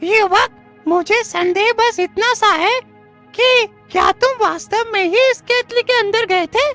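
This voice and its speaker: A cartoonish character voice plays over faint music in the background. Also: moderate pace. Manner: measured, authoritative.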